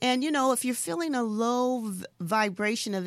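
A woman talks at a moderate pace in a plain, everyday voice, with ordinary pitch variation. The recording is very clean, with a silent background. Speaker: spiritual healer and coach. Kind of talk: interview.

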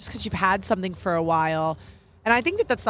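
Vocal fry marks a woman's American accent, her pitch varying in an ordinary way. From New York. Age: 20s. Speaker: podcast guest, marketing professional. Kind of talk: casual interview chat. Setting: outdoors in a park.

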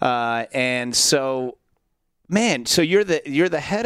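A man with an American accent, medium pitch and an ordinary speaking voice, in a very clean recording against a silent background. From Central Florida. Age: 30s. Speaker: podcast and radio host. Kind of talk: casual interview chat.

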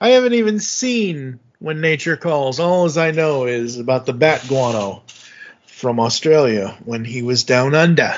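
Here is a man with a plain, everyday voice, pitched fairly high. He speaks at a fairly slow pace with lively intonation. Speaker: podcast host. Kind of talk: casual chat.

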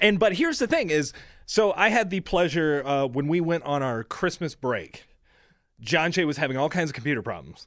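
Here a man with an ordinary speaking voice and fairly high pitch talks at a moderate pace with lively intonation, in a very clean recording with a silent background. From US Midwest. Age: 20s. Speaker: radio show video producer. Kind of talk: casual chat.

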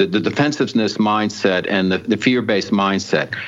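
With an American accent, a man speaks at a moderate pace in a fairly low pitch with ordinary pitch variation, against noticeable background noise. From New Jersey, North Jersey. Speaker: radio talk show host. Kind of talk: interview chat.

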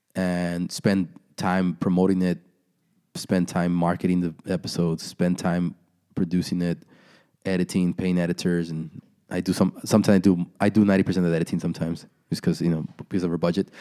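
In a very clean recording with a silent background, a man with a very deep, low pitch and a dark, mellow tone speaks at a fairly quick pace, monotone and flat. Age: 30s. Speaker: content creator and entrepreneur. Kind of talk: casual chat.

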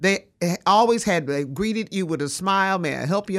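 In a very clean recording with a silent background, a woman at a medium pitch speaks in an animated tone at a moderate pace with very wide pitch swings. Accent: Southern US. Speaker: radio host. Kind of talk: radio talk show. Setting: radio studio.

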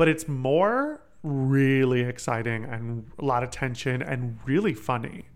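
With an animated tone and hardly any pauses, a man speaks at a fairly slow pace at a medium pitch with ordinary pitch variation. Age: 20s. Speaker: podcast host. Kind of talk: casual chat.

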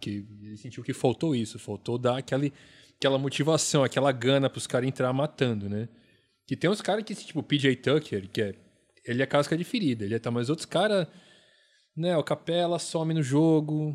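A man's plain, everyday voice, fairly high in pitch with lively intonation, at a moderate pace, in a very clean recording against a silent background. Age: 40s. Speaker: basketball podcast co-host. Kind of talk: casual chat.

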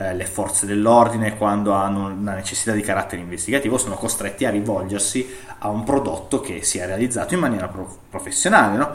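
There is audible room echo and noticeable background noise. A man speaks at a fairly low pitch with ordinary pitch variation. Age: 30s. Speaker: IT consultant, digital forensics. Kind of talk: interview. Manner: halting, many fillers.

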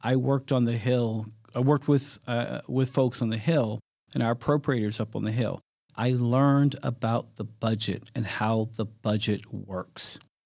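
With a plain, everyday voice, a man in an American accent speaks at a moderate pace and medium pitch with fairly even intonation, recorded very cleanly against a silent background. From US Midwest, Detroit, Michigan. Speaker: federal law enforcement official. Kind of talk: interview. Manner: frequent fillers and restarts.

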